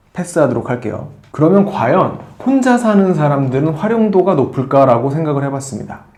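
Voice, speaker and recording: There is audible room echo as a man speaks in a dark, mellow tone. He keeps a moderate pace. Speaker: tech reviewer. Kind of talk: product review. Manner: conversational with fillers.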